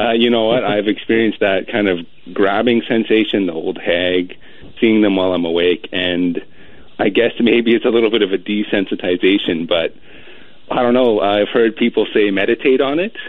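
At a moderate pace, a man speaks quietly in a fairly low pitch with ordinary pitch variation.

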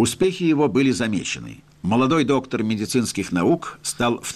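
What we hear is an unforced reading voice.

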